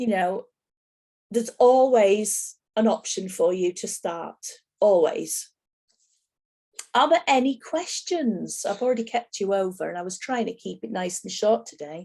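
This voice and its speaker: With a strong Yorkshire accent, a woman speaks at a fairly slow pace and a fairly high pitch, her dark, mellow tone marked by lively intonation, big swings in loudness and long, frequent pauses. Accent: broad Yorkshire. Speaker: soap making teacher. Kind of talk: online class tutorial.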